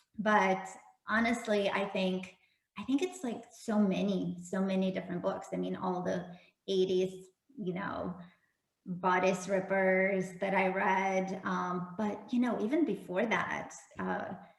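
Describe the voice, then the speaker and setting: A woman at medium pitch, fairly slow and fairly even in intonation, with audible room echo. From Russia. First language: Russian. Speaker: romance novelist. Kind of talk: casual interview.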